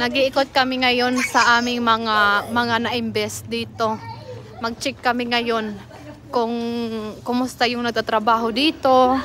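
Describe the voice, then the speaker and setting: Against noticeable background noise, a woman speaks in a high pitch at a fairly slow pace with monotone, flat intonation. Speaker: vlogger. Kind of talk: casual vlog walkthrough. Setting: outdoors. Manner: soft-spoken.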